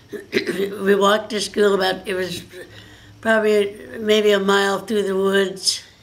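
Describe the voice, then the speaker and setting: Someone speaks at a fairly slow pace with an American accent. Noticeable background noise is audible. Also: woman. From rural Oregon. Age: old. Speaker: retired farm woman. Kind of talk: interview answer, life story. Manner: halting, conversational.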